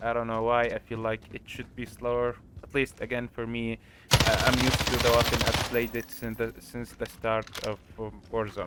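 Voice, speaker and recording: A man talks at a moderate pace in a medium pitch with monotone, flat intonation, and there is noticeable background noise. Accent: non-native. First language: not English. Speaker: gaming tutorial creator. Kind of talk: tutorial. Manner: halting.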